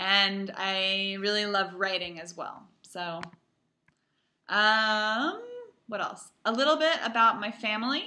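Talking very slowly with an American accent, a woman uses a bright, sharp tone, ordinary pitch variation and big swings in loudness. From US West Coast, Palo Alto, California. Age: 20s. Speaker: English teacher abroad. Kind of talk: self-introduction video for students. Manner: slow, clear for language learners. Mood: friendly, warm. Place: home room. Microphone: webcam.

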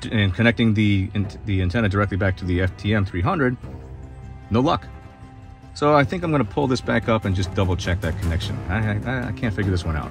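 Over clear background music, a man talks very fast at a fairly low pitch. The sound is dry, with no echo. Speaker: ham radio operator. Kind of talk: casual vlog chat. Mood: puzzled. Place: car. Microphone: phone near.

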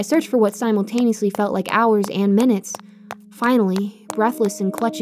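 Fairly even intonation throughout some plain reading aloud

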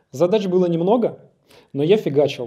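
A man's dark, mellow voice with lively intonation against a quiet background. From Russia, Yaroslavl region; Russia. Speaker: product designer; conference speaker. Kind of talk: conference talk. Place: hall. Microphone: handheld.

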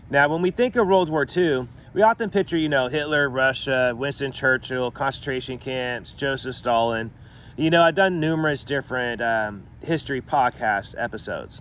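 This man speaks at a moderate pace with ordinary pitch variation. The sound is dry with no echo, over light background noise. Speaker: podcast host. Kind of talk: history podcast narration. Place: garden. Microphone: phone near.

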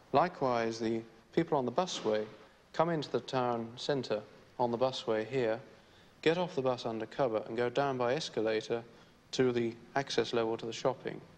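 A man speaks at a moderate pace with ordinary pitch variation. He leaves long, frequent pauses. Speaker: town planner. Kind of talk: vintage documentary narration, technical planner's explanation. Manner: formal, measured, matter-of-fact. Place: office. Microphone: old recording.

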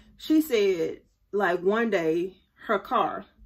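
A woman with very wide pitch swings against a quiet background. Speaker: faith vlogger. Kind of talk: casual vlog chat. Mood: warm, animated storytelling. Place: home room. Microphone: phone near.

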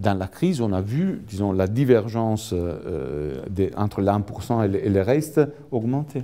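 This man has an Italian accent and a fairly low pitch. He speaks at a very slow pace with lively intonation. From Italy. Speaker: economics professor. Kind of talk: lecture. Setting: lecture hall with audience. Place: hall. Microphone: handheld.

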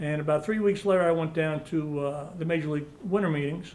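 In a high pitch and a flat monotone, a man talks at a fairly quick pace. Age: 60s. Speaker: college baseball coach. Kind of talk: press conference. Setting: press conference room with media. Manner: halting. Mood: warm, reminiscent. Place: meeting room.

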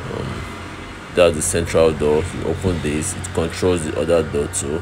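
A man speaks at an extremely low pitch and a fairly slow pace, with little pitch movement. Clear background noise runs underneath.

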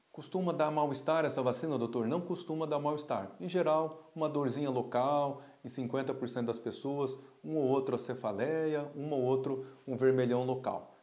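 Fairly even intonation and a moderate pace in a man's fairly high-pitched voice, a plain, everyday voice. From Brazil. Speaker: pediatrician and pulmonologist doctor. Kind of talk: health explainer video. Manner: casual, conversational. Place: office. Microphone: lapel.

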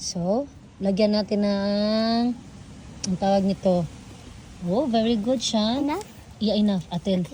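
Pausing long and often, a woman speaks at a fairly slow pace and medium pitch with ordinary pitch variation. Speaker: vlogger. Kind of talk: casual vlog.

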